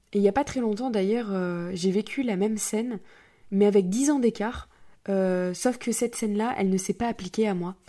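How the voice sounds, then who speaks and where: A woman's tone is dark and mellow. The recording is very clean and the background is silent. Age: 20s. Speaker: podcast host. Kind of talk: personal monologue.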